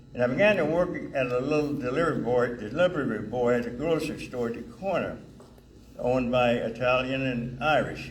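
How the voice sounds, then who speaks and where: At a moderate pace, a man speaks with ordinary pitch variation, and audible room echo surrounds his voice. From US South (Alabama/Mississippi). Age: 80s+. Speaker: retired firefighter and honoree. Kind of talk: award acceptance speech. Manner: halting.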